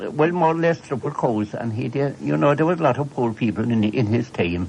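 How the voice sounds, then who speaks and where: A man with a rural Cork accent talks at a fairly quick pace. His voice is somewhat breathy, with very wide pitch swings. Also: medium pitch for a man. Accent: rural Cork Irish. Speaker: storyteller. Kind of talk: oral history storytelling. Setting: radio broadcast.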